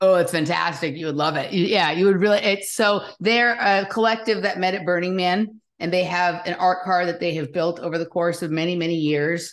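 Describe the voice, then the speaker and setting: A woman with a Californian accent speaks at a fairly low pitch and fairly quick pace. Her intonation stays fairly even, with hardly any pauses. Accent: Californian American. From Los Angeles, US. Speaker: podcast host. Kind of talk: casual interview chat.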